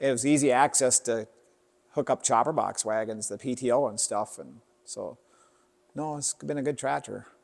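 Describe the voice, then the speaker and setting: Pausing long and often, a man with an American accent talks at a moderate pace, with medium pitch and fairly even intonation. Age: 60s. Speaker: farmer. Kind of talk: casual interview.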